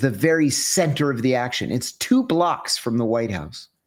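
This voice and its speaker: A plain, everyday voice with an American accent and ordinary pitch variation. The recording is very clean, with a silent background. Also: man. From US, rural Western Pennsylvania. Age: 60s. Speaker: former CIA officer. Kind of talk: interview.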